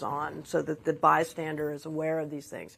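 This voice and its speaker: Heard on a very clean recording with a silent background, a woman with an unremarkable speaking voice talks at a moderate pace and a fairly low pitch. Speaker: trade association CEO. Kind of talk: panel discussion.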